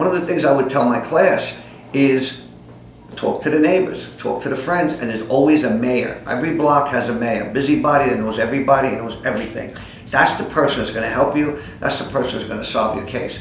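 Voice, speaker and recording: Against noticeable background noise and audible room echo, a man with a New York accent speaks at a fairly quick pace, his fairly high pitch moving with ordinary variation. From New York City (the Bronx). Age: 60s. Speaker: private investigator. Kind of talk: casting pitch to camera. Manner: hesitant, many fillers.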